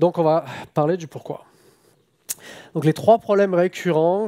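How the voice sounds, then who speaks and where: The recording has a dry, close sound with no echo. A man speaks at a fairly slow pace. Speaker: software engineer, conference speaker. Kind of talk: conference talk. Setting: stage with audience. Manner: hesitant, many filler sounds.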